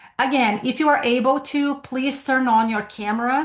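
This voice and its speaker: A woman speaks with a Brazilian Portuguese accent at a high pitch. She keeps a moderate pace and ordinary pitch variation. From Brazil, São Paulo. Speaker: sales trainer. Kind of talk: webinar presentation. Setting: video call from home.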